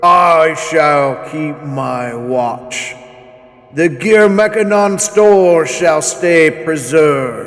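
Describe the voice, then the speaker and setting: Using a put-on character voice, a man with a high pitch speaks at a very slow pace, with audible echo. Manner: commanding, authoritative.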